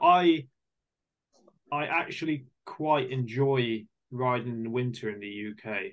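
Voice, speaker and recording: This man speaks with a British accent. His pitch sits in the medium range. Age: 30s. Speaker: podcast host, amateur mountain biker. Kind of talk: casual interview.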